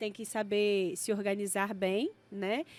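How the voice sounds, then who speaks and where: This voice is a woman's. Her pace is fairly slow. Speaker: science educator and entrepreneur. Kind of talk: podcast interview.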